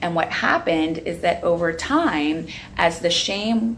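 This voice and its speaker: A woman's fairly low voice with an American accent, fairly slow pace and ordinary pitch variation, amid audible room echo and noticeable background noise. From Long Island, New York. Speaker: addiction therapist and researcher. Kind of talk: educational talk to camera. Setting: outdoors on back patio.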